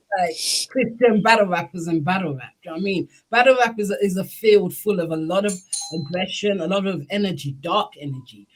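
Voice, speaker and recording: With music playing in the background, a woman speaks fairly quickly at a medium pitch in a British accent. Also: ordinary pitch variation. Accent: UK. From UK. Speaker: interviewer / channel host. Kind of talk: casual interview.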